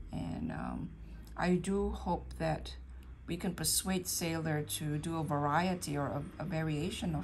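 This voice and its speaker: A fairly slow pace over light background noise. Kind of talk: casual vlog chat. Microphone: phone near.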